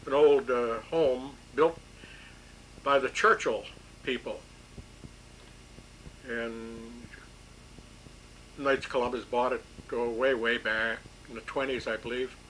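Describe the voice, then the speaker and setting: Speaking with a Michigan accent, a man talks at a very slow pace with long, frequent pauses. His medium pitch holds fairly even intonation. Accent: Michigan, Upper Midwest US. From Bay City, Michigan. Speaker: World War II era draftee. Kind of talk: oral history interview answer.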